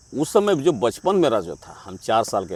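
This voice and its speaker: Very wide pitch swings mark this man's speech. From Jharkhand, India. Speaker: amateur musician, flute player. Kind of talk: interview answer.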